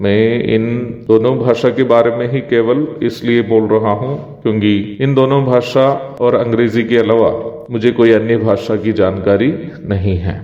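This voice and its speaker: A man's medium-pitched voice with fairly even intonation, audible room echo and noticeable background noise. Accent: Malayalam. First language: Malayalam (speaking Hindi). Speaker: evangelist, Bible teacher. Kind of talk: devotional Bible teaching. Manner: formal.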